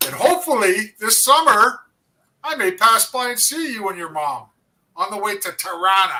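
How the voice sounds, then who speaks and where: A raised, projected male voice with a Canadian accent, high in pitch, with a bright, sharp tone, very wide pitch swings and a moderate pace. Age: 60s. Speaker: former hockey player, co-host. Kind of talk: casual chat.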